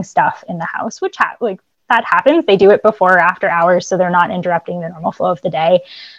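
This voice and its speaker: An unremarkable speaking voice from a woman with an American accent and ordinary pitch variation. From Boston area, US. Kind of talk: casual interview.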